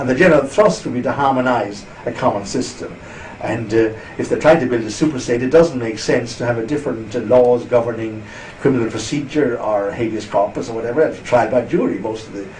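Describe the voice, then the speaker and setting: A man with an Irish accent talks at a fairly quick pace with ordinary pitch variation, amid audible room echo and noticeable background noise. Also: medium pitch for a man. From Ireland. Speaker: interviewee on EU politics. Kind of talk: interview.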